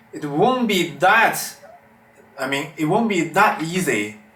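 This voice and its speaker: Speech comes at a fairly slow pace with very wide pitch swings and a Chinese accent. Noticeable background noise and audible room echo are present. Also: man. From China, Beijing. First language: Mandarin Chinese. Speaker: amateur metal vocalist learner. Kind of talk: vlog tutorial. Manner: halting.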